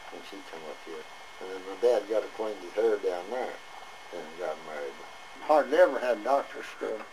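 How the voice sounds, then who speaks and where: A rural Southern Kentucky accent at a moderate pace, with noticeable background noise. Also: man. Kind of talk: oral history interview. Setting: outdoors, front porch. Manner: rambling, casual storytelling.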